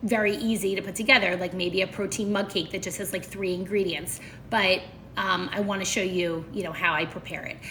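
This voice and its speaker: A woman with an American accent speaks at a medium pitch and a fairly quick pace, with fairly even intonation. Noticeable background noise and audible room echo fill the recording. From Philadelphia, US. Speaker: nutrition coach. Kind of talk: live stream chat.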